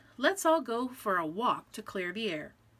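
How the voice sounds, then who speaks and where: A put-on character voice with very wide pitch swings at a moderate pace. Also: woman, fairly high pitch for a woman. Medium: read story. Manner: hearty.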